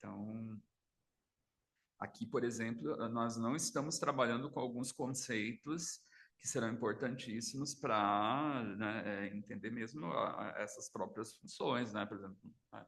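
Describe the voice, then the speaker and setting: Pitch shifts in an ordinary way. The delivery is fairly slow. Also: man, medium pitch for a man. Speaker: psychoanalyst. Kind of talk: seminar lecture. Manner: soft-spoken; halting. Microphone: too quiet, mic needs to be moved closer.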